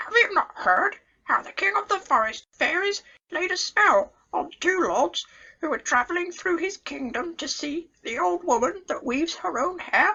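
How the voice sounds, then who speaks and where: The voice is a put-on character voice. Its pitch is extremely high. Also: moderate pace. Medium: read story. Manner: chatty, knowing.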